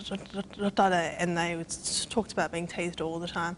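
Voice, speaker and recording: In a New Zealand accent, a woman speaks with a fairly low pitch and monotone, flat intonation. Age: 20s. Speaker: person who stutters. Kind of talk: interview. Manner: halting.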